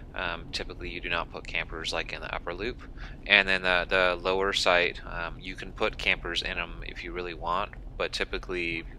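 A man at a fairly quick pace over light background noise. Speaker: campground reviewer. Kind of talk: casual vlog commentary. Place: car.

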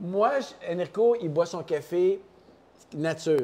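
Very slow speech comes from a man. His pitch is high and his tone is dark and mellow. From Quebec. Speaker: coffee company co-founder. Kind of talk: casual chat. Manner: animated. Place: office.

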